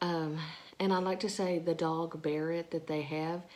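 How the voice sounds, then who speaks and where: Quiet and fairly low-pitched, a woman speaks at a moderate pace. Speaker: vlogger, stay-at-home mom. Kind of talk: casual vlog talk. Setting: at home, early morning. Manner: speaking quietly; halting, many fillers.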